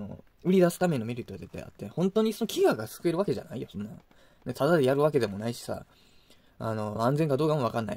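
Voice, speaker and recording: Very fast speech comes from a man at a medium pitch with very wide pitch swings. His tone is dark and mellow. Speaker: YouTuber, food reviewer. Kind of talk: casual monologue. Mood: opinionated, critical rant. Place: home room. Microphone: phone near.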